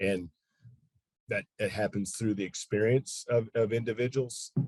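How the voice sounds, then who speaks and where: Somewhat breathy, a man's voice sits at a medium pitch with fairly even intonation. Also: very clean recording, silent background. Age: 50s. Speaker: consultant. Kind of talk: podcast interview. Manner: halting.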